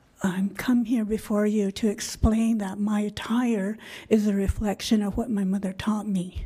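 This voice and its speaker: At a moderate pace, the voice sounds somewhat breathy, with a dark, mellow tone and monotone, flat intonation. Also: woman, medium pitch for a woman. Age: 60s. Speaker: public commenter. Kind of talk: public comment. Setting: school board meeting.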